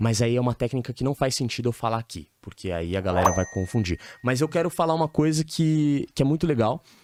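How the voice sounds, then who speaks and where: A man speaks in an ordinary speaking voice at a medium pitch and a fairly quick pace. His intonation is lively, and the sound is dry and close with no echo. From São Paulo, Brazil. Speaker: dating coach. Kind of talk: podcast interview. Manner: casual, uses slang.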